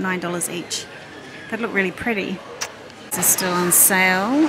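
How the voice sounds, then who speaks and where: Over noticeable background noise, a woman speaks at a moderate pace with ordinary pitch variation. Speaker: shopping vlogger. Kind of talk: casual vlog chat. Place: shop. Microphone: phone near.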